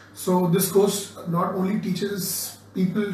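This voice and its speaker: High-pitched and flat in a monotone, a man speaks amid audible room echo. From India. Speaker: course participant, former advertising professional. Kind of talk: testimonial talk. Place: classroom. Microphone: phone near.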